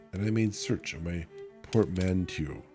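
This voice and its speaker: A man speaks at a moderate pace in a very deep, low pitch with ordinary pitch variation. Music plays in the background. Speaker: vtuber. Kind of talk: audiobook reading.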